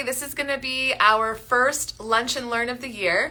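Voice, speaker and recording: A raised, projected voice against noticeable background noise. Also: woman. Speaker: doctor. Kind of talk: casual live-stream interview host.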